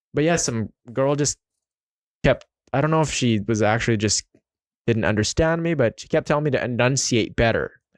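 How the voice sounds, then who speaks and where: A man with a Filipino accent speaks at a fairly quick pace yet with long, frequent pauses, his medium pitch showing ordinary variation in a dry, close sound with no echo. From Philippines. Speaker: podcast host. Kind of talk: casual interview chat.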